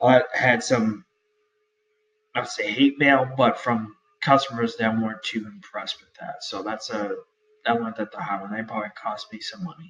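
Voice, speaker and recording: A man speaks with a Boston accent. His loudness swings widely from moment to moment. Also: moderate pace. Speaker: online store owner and YouTuber. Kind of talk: tutorial. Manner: halting, many fillers.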